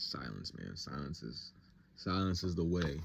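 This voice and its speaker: A man speaks at a very deep, low pitch with vocal fry. His intonation is fairly even. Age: 20s. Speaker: vlogger. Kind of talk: casual monologue vlog. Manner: fast; rambling, stream of thought.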